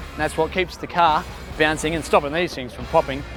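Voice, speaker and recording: Over music in the background, a man with an Australian accent speaks in an upbeat, enthusiastic tone. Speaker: children's entertainer. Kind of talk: educational kids' video presenting.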